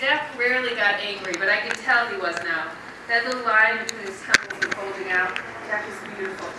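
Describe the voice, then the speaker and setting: This woman talks at a fairly quick pace with a fairly high pitch, ordinary pitch variation and big swings in loudness. Noticeable background noise sits behind her. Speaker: author and narrator. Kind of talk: first-person novel narration. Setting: live theatre.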